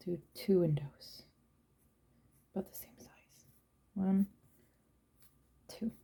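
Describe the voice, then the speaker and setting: A woman's dark, mellow, somewhat breathy voice at a medium pitch, with ordinary pitch variation, a very slow pace and long, frequent pauses. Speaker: watercolour art tutor. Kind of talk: tutorial. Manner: casual, thinking aloud.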